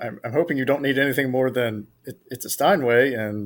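Recorded very cleanly against a silent background, a man speaks with an American accent in an ordinary speaking voice. His pitch is medium with ordinary variation, and his pace is moderate. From South Carolina. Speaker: trivia contestant.

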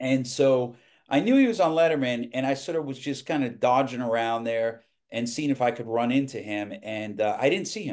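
A man with an American accent, in a normal speaking voice: medium pitch, ordinary pitch variation, moderate pace, quiet background. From New York, Westchester. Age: 50s. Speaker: TV producer. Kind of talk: casual interview chat. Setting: video call.

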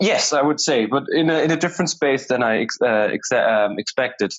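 At a fairly slow pace, a man speaks with a German accent at medium pitch. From Germany. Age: 20s. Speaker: conflict transformation coach. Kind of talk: interview conversation. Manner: hesitant, many fillers.

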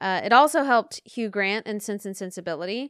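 In a very clean recording with a silent background, a woman speaks at a fairly quick pace in a plain, everyday voice, at medium pitch with ordinary pitch variation. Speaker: podcast co-host. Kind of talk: casual chat, podcast recap.

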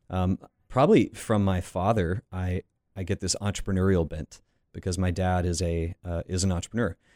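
In an American accent, a man with a very deep, low pitch speaks with fairly even intonation on a very clean, silent-background recording with a dry, close sound and no echo. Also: moderate pace. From US South, Florida Panhandle. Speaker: pastor and author. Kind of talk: interview.

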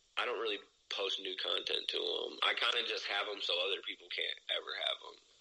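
Talking at a fairly quick pace, a man speaks with a Midwestern US accent. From Ohio, US Midwest. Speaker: rapper. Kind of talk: casual interview chat. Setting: video or phone call. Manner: casual, profane, laughs often.

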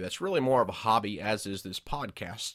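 Recorded very cleanly against a silent background, a man of medium pitch speaks with an American accent in a dry, close sound with no echo. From Georgia, US South. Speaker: preacher and podcast host. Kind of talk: podcast monologue.

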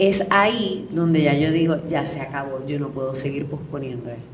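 A woman talks at a moderate pace, her voice carrying audible room echo over noticeable background noise. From Puerto Rico, Utuado. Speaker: actress. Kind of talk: interview. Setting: café.

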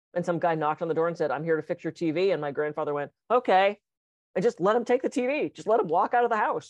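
A woman speaks very fast in a fairly low voice, her intonation lively. The sound is dry and close with no echo, over a quiet background. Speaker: podcast co-host and hypnotist. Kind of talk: casual conversational podcast. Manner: fast talker.

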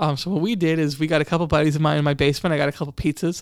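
The recording is very clean, with a silent background. A man speaks very fast. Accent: American. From Long Island, New York. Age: 20s. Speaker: county legislator. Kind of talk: interview. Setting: studio. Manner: energetic; halting with many repetitions.

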